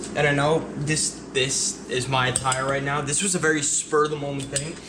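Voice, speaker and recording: A man talks at a fairly high pitch in a monotone, flat intonation. There is noticeable background noise and audible room echo. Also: moderate pace. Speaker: car enthusiast vlogger. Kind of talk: casual vlog narration. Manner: whispering.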